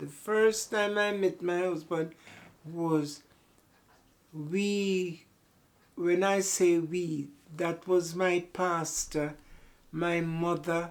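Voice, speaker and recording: A woman's fairly low voice at a very slow pace, with fairly even intonation and long, frequent pauses. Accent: Jamaican. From Jamaica. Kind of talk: interview answer.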